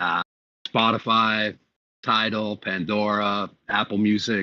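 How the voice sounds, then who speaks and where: A man's fairly low-pitched voice with a bright, sharp tone. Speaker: music producer. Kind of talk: casual chat.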